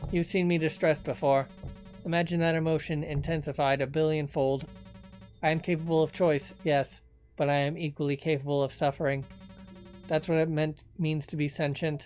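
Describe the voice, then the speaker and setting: Set against clear background music, a put-on robotic character voice moves at a fairly quick pace. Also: man, fairly high pitch for a man. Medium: solo performance. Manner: formal, eloquent.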